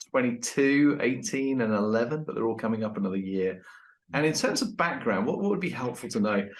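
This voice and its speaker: The speaker is a man with an English accent. His pitch is medium. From England. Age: 50s. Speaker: leadership consultant and author. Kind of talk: interview podcast. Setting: at home with dog.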